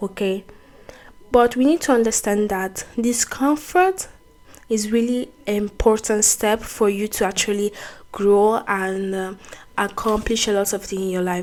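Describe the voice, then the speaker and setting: A woman with a non-native accent speaks at a fairly slow pace with a fairly high pitch. Noticeable background noise runs behind her. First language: not English. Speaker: YouTuber, self-improvement talk. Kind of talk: motivational talk to camera. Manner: halting, with self-corrections.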